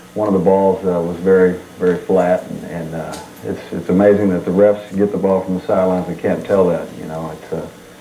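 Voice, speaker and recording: With audible room echo and light background noise, a man speaks at a fairly quick pace in a very deep, low voice with monotone, flat intonation. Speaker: guest. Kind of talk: interview answer. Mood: calm, self-critical. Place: studio.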